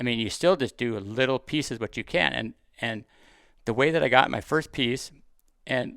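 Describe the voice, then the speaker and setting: On a very clean recording with a silent background, a man speaks at a moderate pace and medium pitch, with vocal fry and ordinary pitch variation. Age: 50s. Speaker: deer hunter and hunting TV host. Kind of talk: casual interview chat. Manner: halting, frequent fillers and restarts.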